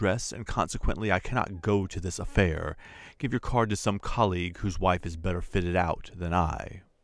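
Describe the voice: The text is read aloud. The reading is plain.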